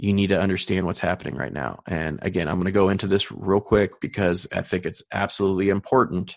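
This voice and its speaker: A man's very deep, low voice with vocal fry and an animated tone, fairly quick in pace, over a quiet background. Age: 40s. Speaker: podcast host, mortgage marketer. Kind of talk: solo podcast monologue.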